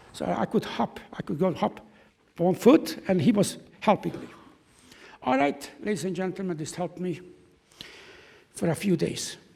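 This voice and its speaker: A man with a German accent speaks in a high, dark, mellow voice with lively intonation and long, frequent pauses. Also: moderate pace. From Czechoslovakia. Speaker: Holocaust survivor. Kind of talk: testimony. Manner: halting.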